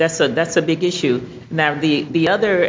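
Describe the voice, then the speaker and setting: With noticeable background noise, a woman speaks at a very deep, low pitch with fairly even intonation. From Alabama. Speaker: environmental toxicologist and attorney. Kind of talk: presentation. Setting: congressional briefing room with audience.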